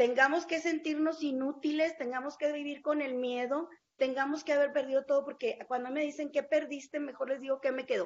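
This woman speaks at a high pitch. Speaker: journalist. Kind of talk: interview.

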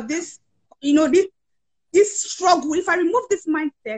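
With an energetic tone, a woman speaks at an extremely high pitch in a dry, close sound with no echo. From Nigeria. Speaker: author, coach and tech founder. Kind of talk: interview.

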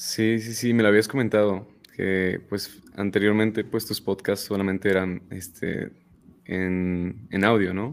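With a fairly low pitch, this man talks at a fairly slow pace and keeps his intonation fairly even. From State of Mexico. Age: 20s. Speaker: music producer and rapper. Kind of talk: casual interview.

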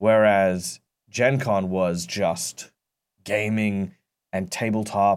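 Fairly low-pitched man with an Australian accent and fairly even intonation, in a very clean recording with a silent background. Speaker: tabletop game master and youth wellness worker. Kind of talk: podcast interview. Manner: halting, many fillers and repeats.

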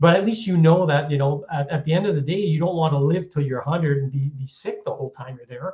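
At a very fast pace with hardly any pauses, a man talks in a fairly high, somewhat breathy voice. His loudness swings widely while his pitch varies in an ordinary way. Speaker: health podcast co-host. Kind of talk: casual chat.

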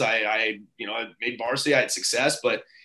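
The man talks at a fairly quick pace. His tone is bright and sharp. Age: 40s. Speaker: strength and conditioning coach. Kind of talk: interview. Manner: halting, many fillers and repetitions.

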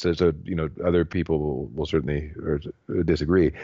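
This man speaks at a moderate pace in a very deep, low voice. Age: 40s. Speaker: piano teacher. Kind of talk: interview. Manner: halting, with many repeated words.

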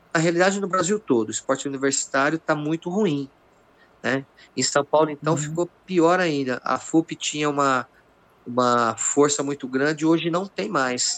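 A normal speaking voice from a man at a fairly high pitch, moderate pace and ordinary pitch variation, dry, close sound with no echo, quiet background. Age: 50s. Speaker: jiu-jitsu master. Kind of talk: casual chat.

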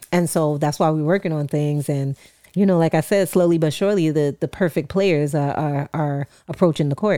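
In a New York accent, a woman talks at a moderate pace with a very deep, low pitch and a dark, mellow tone, captured in a very clean recording with a silent background and a dry, close sound with no echo. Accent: New York, put on thick at times. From New York City, Queens. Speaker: podcast co-host. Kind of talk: casual chat. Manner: animated.

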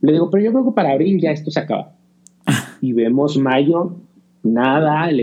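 A man with an unremarkable speaking voice, fairly high in pitch, with lively intonation, very even loudness and a moderate pace. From Mexico. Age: 30s. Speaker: podcaster. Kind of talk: casual chat.

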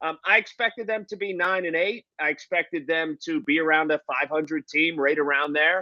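With an American accent and a plain, everyday voice, a man talks at a moderate pace with hardly any pauses, his fairly high pitch showing ordinary pitch variation. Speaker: football analyst. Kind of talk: podcast discussion.

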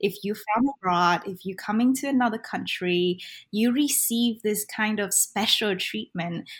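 A woman's medium pitch in a Vietnamese accent, fairly slow in pace with ordinary pitch variation, on a very clean recording with a silent background. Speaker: ESL teacher. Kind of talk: interview.

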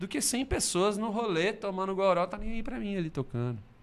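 This man's voice has a bright, sharp tone. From Brazil, Belo Horizonte. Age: 40s. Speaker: singer-songwriter. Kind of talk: casual chat.

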